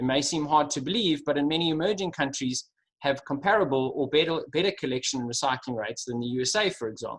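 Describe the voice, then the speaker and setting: The speaker has a Durban accent and talks very fast with hardly any pauses. Pitch varies in an ordinary way. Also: man, fairly high pitch for a man. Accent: South African (Durban). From South Africa, Durban. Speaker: sustainability executive. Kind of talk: webinar presentation. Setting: video call.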